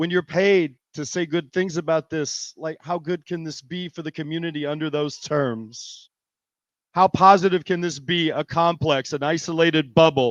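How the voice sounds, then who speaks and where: With a plain, everyday voice, a man talks at a moderate pace and a fairly high pitch with fairly even intonation, the sound dry and close with no echo over a quiet background. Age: 50s. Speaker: arts nonprofit manager. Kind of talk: public hearing testimony.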